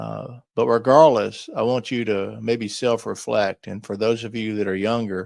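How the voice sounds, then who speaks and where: An unremarkable speaking voice at a moderate pace, with fairly even intonation, big swings in loudness and a quiet background. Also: man, medium pitch for a man, hardly any pauses. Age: 60s. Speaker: lifestyle vlogger. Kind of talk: solo podcast reflection. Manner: casual conversational.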